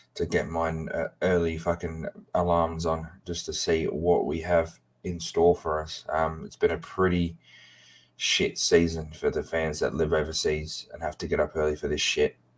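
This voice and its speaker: A man with an English accent at a moderate pace. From England. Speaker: football fan streamer. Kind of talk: live watchalong chat. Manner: halting, many fillers.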